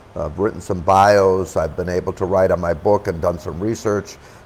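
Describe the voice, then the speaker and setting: Here a man speaks with very deep, low pitch. His pace is moderate. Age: 70s. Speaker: wine educator. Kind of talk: casual chat.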